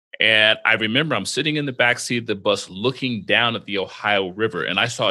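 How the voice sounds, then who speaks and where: Speaking with an American accent at a moderate pace, a man has a bright, sharp tone and a medium pitch with ordinary variation, set against a quiet background. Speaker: podcast host. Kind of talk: casual interview. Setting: video call.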